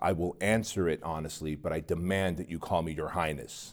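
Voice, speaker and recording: A man's put-on character voice, very deep and low, delivered at a fairly quick pace. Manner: dark, devilish, imperious.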